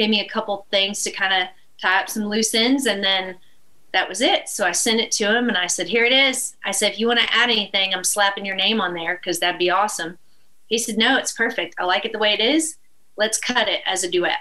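Ordinary pitch variation carries the speech along at a fairly quick pace. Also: woman, medium pitch for a woman. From East Texas. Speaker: country musician. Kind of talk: casual chat. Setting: live show with audience.

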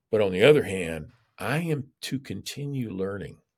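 Vocal fry runs through the fairly low voice of this man. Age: 70s. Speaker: preacher and seminary administrator. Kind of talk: interview conversation.

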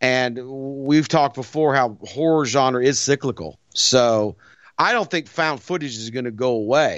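Speaking in an American accent, a man keeps to a fairly slow pace. His pitch is medium, with ordinary pitch variation. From US South. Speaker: podcast host, horror show presenter, former pro wrestler. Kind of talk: casual chat. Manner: animated, frequent laughter.

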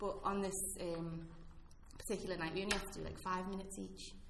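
A woman talks at a fairly quick pace with a medium pitch. There is noticeable background noise. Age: 30s. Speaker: stand-up comedian. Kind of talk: casual interview chat. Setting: office boardroom.

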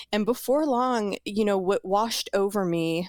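A woman with a normal speaking voice and a medium pitch speaks at a fairly slow pace with ordinary pitch variation. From US South, New Orleans. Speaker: psychedelic therapy advocate. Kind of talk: testimony.

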